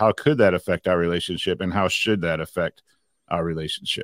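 An unremarkable speaking voice at a fairly quick pace with ordinary pitch variation, dry and close with no echo, in a very clean recording with a silent background. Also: man. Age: 50s. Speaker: podcast host and preacher. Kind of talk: casual chat.

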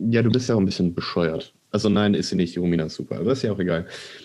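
A man speaks at a very fast pace with lively intonation. His tone is dark and mellow. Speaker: podcast co-host. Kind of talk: casual chat.

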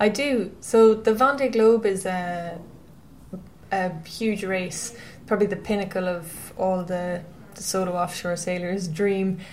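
A woman talks very slowly in a western Irish accent. Room echo is audible. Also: medium pitch for a woman, ordinary pitch variation. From Ireland, County Mayo. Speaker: professional offshore sailor. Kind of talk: interview.

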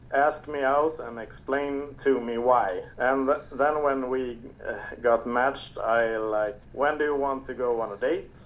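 Fairly slow and fairly even in intonation, a man with a Swedish accent speaks at a medium pitch. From Sweden. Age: 30s. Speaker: podcast listener guest. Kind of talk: casual chat. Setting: remote call.

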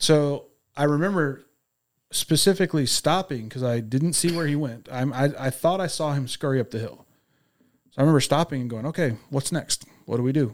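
With an American accent, a man talks at a fairly quick pace in an ordinary speaking voice, his pitch fairly high and varying in an ordinary way, on a very clean recording with a silent background. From Texas. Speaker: police officer. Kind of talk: testimony.

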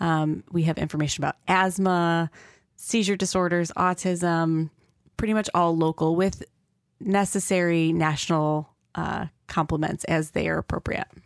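In a normal speaking voice with an American accent, a woman talks at a moderate pace with fairly low pitch, fairly even intonation and very even loudness, in a dry, close sound with no echo. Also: very clean recording, silent background. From Rochester, New York. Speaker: pediatrician and nonprofit founder, podcast co-host. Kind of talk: interview (being interviewed by co-host).

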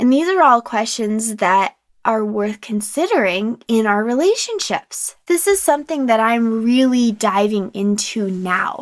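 In a normal speaking voice, a woman talks fairly slowly with hardly any pauses and lively intonation. Her pitch is fairly high, and the recording is very clean with a silent background. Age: 30s. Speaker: podcast host. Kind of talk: casual monologue. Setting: home closet.

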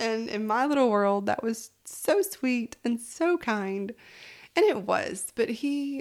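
In a Southern US accent, a woman speaks with lively intonation on a very clean recording with a silent background. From Alabama, US South. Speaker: podcast host. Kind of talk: personal storytelling. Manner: animated.

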